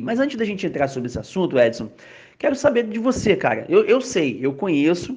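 His pitch rises and falls over a very wide range. This man's delivery moves at a fairly quick clip. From Rio de Janeiro, Brazil. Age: 30s. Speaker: podcast host, church youth minister. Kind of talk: casual religious discussion.

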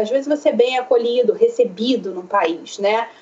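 Against noticeable background noise, a woman talks at a moderate pace with very wide pitch swings. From Brazil, Rio de Janeiro. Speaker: psychoanalyst. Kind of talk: interview. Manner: hesitant, many fillers.

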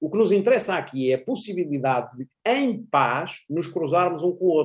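This man's voice sits high for a man and has a dark, mellow tone, swinging very widely in pitch as he talks at a fairly quick pace. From Portugal. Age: 40s. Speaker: university professor and international affairs commentator. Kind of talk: interview conversation.

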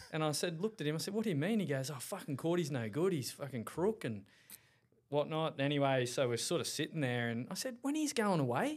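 A man with an Australian accent talks at a fairly quick pace. His fairly high voice swings very widely in pitch. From Australia, Caloundra, Queensland. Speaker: rugby league coach. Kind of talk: casual chat.

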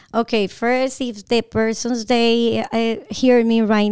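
Speaking with a Colombian accent, a woman uses a fairly high pitch at a fairly slow pace. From Bogotá, Colombia. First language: Spanish. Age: 40s. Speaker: realtor and entrepreneur. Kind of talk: casual interview. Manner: high energy.

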